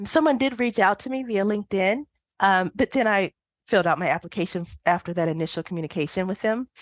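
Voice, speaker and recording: A woman with an American accent speaks very fast at a medium pitch. Her intonation is lively, and the background is quiet. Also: dry, close sound with no echo. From United States. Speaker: statistician. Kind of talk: interview. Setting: podcast recording.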